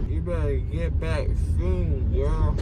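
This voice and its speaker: A man talks amid heavy background noise, his voice sounding dry and free of echo. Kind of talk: casual vlog chat. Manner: drowsy, thick-mouthed slow talk. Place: car. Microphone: phone near.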